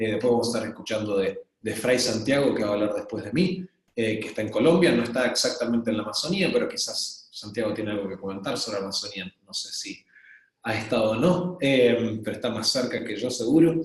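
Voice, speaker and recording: A man with an Argentine accent and lively intonation. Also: medium pitch for a man, fairly quick pace. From Argentina. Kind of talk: webinar presentation. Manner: hesitant, many fillers.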